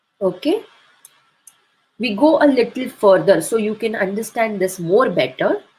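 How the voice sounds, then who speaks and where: A woman's fairly high voice, fairly slow in pace, with lively intonation. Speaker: homeopathy doctor and teacher. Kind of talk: webinar lecture. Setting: online webinar. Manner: slow, deliberate.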